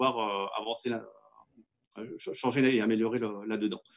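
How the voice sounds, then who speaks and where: A man talking at a fairly quick pace. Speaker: company representative pitching 3D printing solutions. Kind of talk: business pitch in webinar. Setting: webinar. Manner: fast; hesitant, many fillers.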